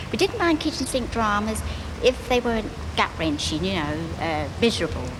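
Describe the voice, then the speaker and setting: A woman with a London accent, amid noticeable background noise. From East End of London. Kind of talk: interview answer. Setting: outdoors. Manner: earnest, evocative.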